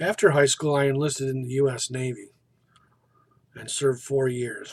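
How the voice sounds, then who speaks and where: Somewhat breathy and fairly high in pitch, a man talks at a moderate pace with an American accent. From US Midwest, northeast Ohio. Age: 60s. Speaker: college student. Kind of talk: self-introduction. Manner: formal.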